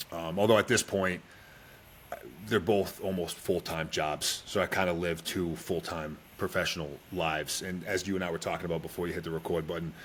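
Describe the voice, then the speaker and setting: A man talks at a fairly quick pace with an American accent. His pitch is very deep and low. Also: fairly even intonation. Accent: Boston accent, toned down. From Boston, Massachusetts. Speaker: Special Forces soldier and entrepreneur. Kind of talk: podcast interview.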